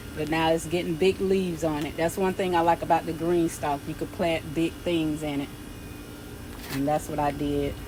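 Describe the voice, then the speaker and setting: A woman speaks at a moderate pace in a fairly low pitch, her intonation monotone and flat, over noticeable background noise. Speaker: gardening vlogger. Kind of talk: casual garden tour vlog. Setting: outdoors in garden.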